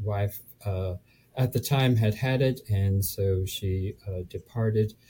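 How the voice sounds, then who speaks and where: A man speaks at a very slow pace in a fairly low, somewhat breathy voice with a dark, mellow tone. The recording is very clean, with a silent background. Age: 70s. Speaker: real estate investor. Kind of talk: casual interview chat. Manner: halting, filler words.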